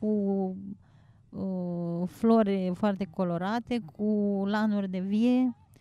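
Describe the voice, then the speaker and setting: A woman with a dark, mellow tone and a fairly high pitch speaks at a very slow pace. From Romania, Suceava. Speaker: small business owner. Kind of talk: interview. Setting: outdoors.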